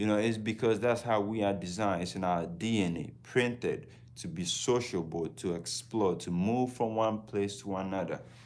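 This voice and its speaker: Spoken with a Ghanaian accent at a moderate pace, the voice has hardly any pauses, ordinary pitch variation and audible room echo. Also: man, fairly low pitch for a man. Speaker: travel vlogger. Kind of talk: casual livestream talk.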